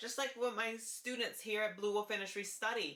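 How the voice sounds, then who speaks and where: A woman's fairly high voice has a bright, sharp tone and fairly even intonation. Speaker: vlogger and hair instructor. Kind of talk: casual vlog about voice training. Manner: lowered volume, raised pitch; deliberate, pausing before words.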